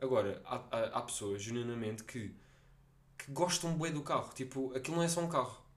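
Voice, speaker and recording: A man talks at a moderate pace in an animated tone. His pitch is medium, with ordinary variation. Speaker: podcast host. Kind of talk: casual chat.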